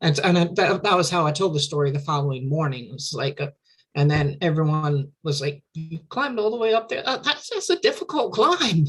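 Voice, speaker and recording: A woman speaks at a fairly quick pace with a very deep, low pitch. Her intonation is lively and her voice somewhat breathy. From Louisiana, US South. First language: Cajun French. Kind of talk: casual interview conversation. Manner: halting, repeats words.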